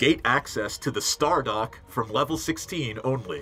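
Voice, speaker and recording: Speaking at a moderate pace, a man uses a booming, put-on character voice at a medium pitch, with clear background noise behind him. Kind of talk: formal, announcing.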